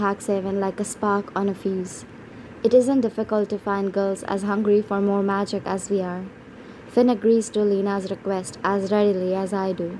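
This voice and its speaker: A medium-pitched woman speaks with monotone, flat intonation. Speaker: audiobook narrator. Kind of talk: audiobook reading.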